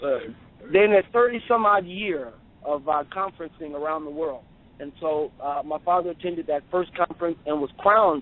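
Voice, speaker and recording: A plain, everyday voice, from a fairly high-pitched man with ordinary pitch variation. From US South. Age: 40s. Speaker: traditional king. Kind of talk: interview.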